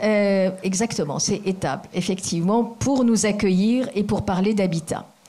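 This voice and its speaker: Over noticeable background noise, a woman talks at a fairly slow pace with hardly any pauses, keeping a medium pitch, ordinary pitch variation and very even loudness. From Asia. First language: not French (speaking French). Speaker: foundation president. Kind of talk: formal speech. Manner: halting.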